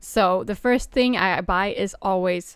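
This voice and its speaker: On a very clean recording with a silent background, a woman with a non-native accent speaks with ordinary pitch variation. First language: not English. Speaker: streamer. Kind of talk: casual chat. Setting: live stream during lunch break. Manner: eating while talking.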